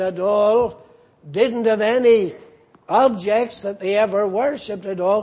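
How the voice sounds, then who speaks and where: In a Northern Irish accent, a man speaks at a high pitch. His pace is very slow and his intonation fairly even. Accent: Northern Irish (Ulster). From Northern Ireland. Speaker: pastor. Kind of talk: sermon.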